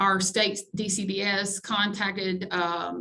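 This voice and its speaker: Here a woman speaks at a medium pitch. Noticeable background noise sits behind her. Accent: Alabama. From Alabama. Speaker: college grants director. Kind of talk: webinar presentation.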